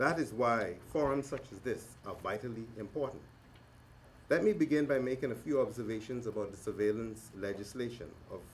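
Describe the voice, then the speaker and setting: A man speaks fairly quickly at a medium pitch, somewhat breathy, with ordinary pitch variation. His loudness swings widely. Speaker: government minister and lawyer. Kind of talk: formal speech. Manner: fast.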